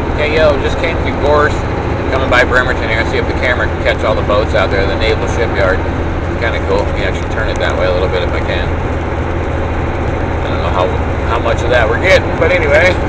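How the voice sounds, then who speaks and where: Loud background noise fills the recording. A man speaks at a very fast pace. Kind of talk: casual vlog chat. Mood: upbeat, playful. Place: car. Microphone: phone near.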